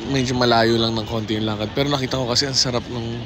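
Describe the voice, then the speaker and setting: Through noticeable background noise and audible room echo, a man speaks at a medium pitch. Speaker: travel vlogger. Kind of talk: casual vlog monologue. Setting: outdoors, walking in city.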